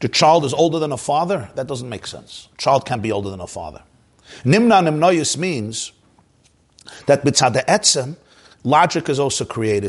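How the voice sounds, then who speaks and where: A man talks at a fairly quick pace in a somewhat breathy, fairly high voice. His intonation is lively. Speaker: Torah teacher giving a Chassidic class. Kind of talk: lecture. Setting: live class with online video viewers. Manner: conversational, explanatory, repeats words.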